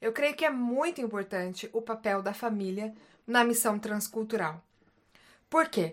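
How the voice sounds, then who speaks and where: On a very clean recording with a silent background, a woman with a fairly high pitch speaks at a fairly slow pace, her intonation lively and her pauses long and frequent. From Brazil, Paraná. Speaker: psychologist and missionary. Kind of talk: casual chat.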